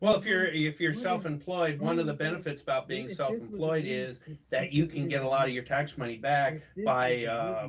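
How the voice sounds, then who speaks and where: The pace is moderate, the accent American, and noticeable background noise runs throughout. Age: 60s. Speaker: finance commentator. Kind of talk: live show discussion. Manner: halting.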